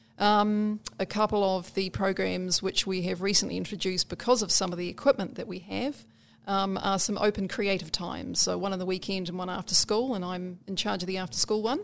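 A woman's fairly quick speech in a New Zealand accent, medium-pitched with fairly even intonation and hardly any pauses. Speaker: community librarian. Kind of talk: interview.

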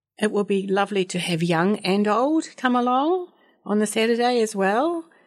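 The recording is very clean, with a silent background. The speaker talks at a fairly slow pace with a New Zealand accent. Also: woman. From Dunedin, New Zealand. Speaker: community garden coordinator. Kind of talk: radio interview.

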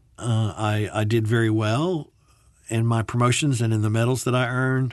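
A man with an American accent has an ordinary speaking voice, medium pitch, ordinary pitch variation and a moderate pace, set against a quiet background. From US South, Birmingham, Alabama. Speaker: military veteran. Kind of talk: interview.

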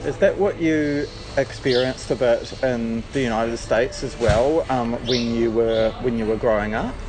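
A man's medium-pitched voice at a moderate pace, fairly even in intonation, over noticeable background noise. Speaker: radio producer and host. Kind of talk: scripted radio intro and outro.

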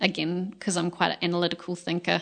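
A woman's fairly low voice with an Australian accent. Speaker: musical theatre singer and performer. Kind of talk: interview conversation.

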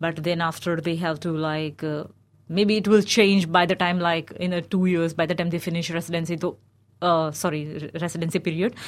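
Speaking fairly quickly in a monotone, flat intonation, a woman with an Indian accent has a fairly low pitch, captured in a very clean recording with a silent background. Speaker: recent finance graduate, migrant. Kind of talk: radio discussion. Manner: halting, many fillers.

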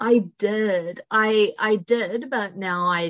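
A woman with a New Zealand accent speaks with ordinary pitch variation. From New Zealand, Upper Hutt. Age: 20s. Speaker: university student. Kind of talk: casual chat.

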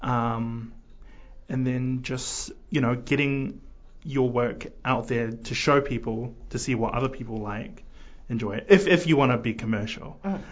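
Here a man talks at a fairly slow pace. The room echo is audible. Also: medium pitch for a man, ordinary pitch variation. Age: young. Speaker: graphic design student. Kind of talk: radio interview. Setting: radio studio. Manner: hesitant, many fillers.

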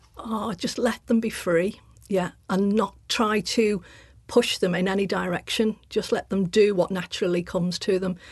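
Somewhat breathy, a woman speaks at a medium pitch and a moderate pace with fairly even intonation. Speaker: artist and sculptor. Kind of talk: casual interview chat.

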